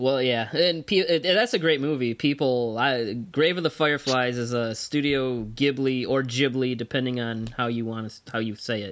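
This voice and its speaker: A man with an ordinary speaking voice talks at medium pitch and a moderate pace, using ordinary pitch variation and hardly any pauses. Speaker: podcast host. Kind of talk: casual chat.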